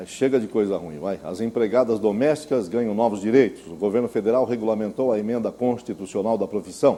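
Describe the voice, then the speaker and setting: Delivered at a fairly quick pace with hardly any pauses, the dark, mellow voice shows ordinary pitch variation and big swings in loudness. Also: man, medium pitch for a man. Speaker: news anchor. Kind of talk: TV news bulletin anchor read.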